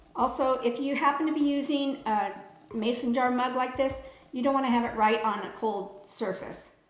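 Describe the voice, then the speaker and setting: With noticeable background noise and audible room echo, a woman speaks at a moderate pace in a high pitch with fairly even intonation. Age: 60s. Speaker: lifestyle vlogger. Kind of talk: tutorial. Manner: casual.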